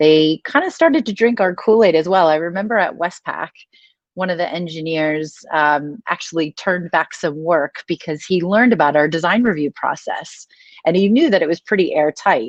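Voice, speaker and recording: This woman, with an American accent, has a fairly low pitch and ordinary pitch variation at a moderate pace. The sound is dry and close with no echo, over a quiet background. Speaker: design operations lead. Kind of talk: conference talk. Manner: casual, conversational.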